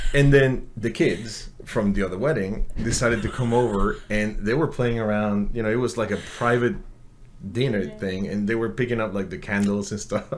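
Audible room echo surrounds a man speaking at a moderate pace, his fairly low pitch showing ordinary variation. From Mexico City. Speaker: engineer. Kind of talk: casual chat.

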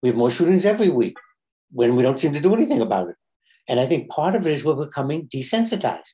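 The voice is somewhat breathy with a dark, mellow tone. It moves at a very fast pace with very wide pitch swings. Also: man, fairly high pitch for a man. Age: 70s. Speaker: rabbi. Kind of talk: casual chat.

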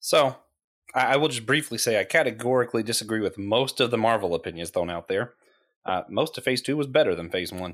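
A man talks at a very fast pace in a medium pitch. The recording is very clean, with a silent background. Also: lively intonation. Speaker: podcast co-host. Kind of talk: casual chat about geek culture.

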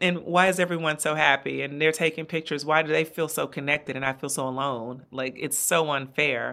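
Her pitch is very deep and low, paired with a bright, sharp tone. The woman talks at a fairly quick pace. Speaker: brand strategist and podcaster. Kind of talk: interview conversation. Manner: warm, animated.

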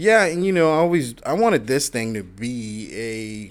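A man speaks with a normal speaking voice at a fairly slow pace. His intonation is lively. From Florida (moved from Queens, New York at nine). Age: 30s. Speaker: podcast host, retired firefighter-paramedic. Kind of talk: casual chat.

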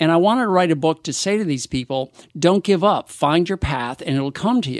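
A man with a normal speaking voice, fairly high pitch, lively intonation and a fairly quick pace, in a dry, close recording with no echo, very clean, with a silent background. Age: 60s. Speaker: equine dentist and veterinarian. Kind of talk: casual interview.

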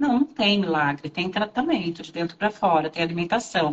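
A woman speaks at a very fast pace with lively intonation. Noticeable background noise is present. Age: 40s. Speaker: Ayurveda therapist and pharmacist. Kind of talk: casual interview on a livestream. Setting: live video stream.

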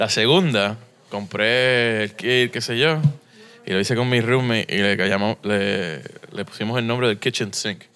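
At a fairly slow pace, a man with a plain, everyday voice speaks at medium pitch with ordinary pitch variation. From Puerto Rico and US mainland. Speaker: brewery co-founder. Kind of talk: interview conversation. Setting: beer shop.

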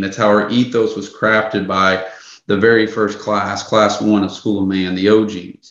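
With an American accent, a man talks at a fairly low pitch and fairly slow pace. Room echo is audible. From US South. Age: 30s. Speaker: men's coach. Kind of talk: interview.

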